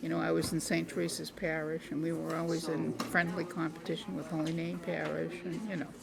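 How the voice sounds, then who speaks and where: A woman talks at a fairly quick pace with hardly any pauses. Noticeable background noise and audible room echo are present. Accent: Boston. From Boston, Massachusetts. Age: 80s+. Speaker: senior resident interviewee. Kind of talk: interview.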